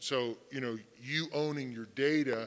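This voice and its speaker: A man speaks loudly. His intonation stays fairly even. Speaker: fintech panelist. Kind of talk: panel discussion. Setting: conference stage with audience.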